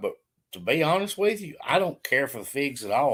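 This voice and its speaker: There's a slight Southern US accent in this man's speech. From Alabama. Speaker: farmer. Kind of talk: casual chat.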